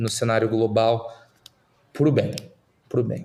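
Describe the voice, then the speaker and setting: With fairly even intonation, a man delivers his words at a moderate pace. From Brazil, Curitiba. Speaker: startup investor. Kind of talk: podcast interview. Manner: halting, many fillers and repeats.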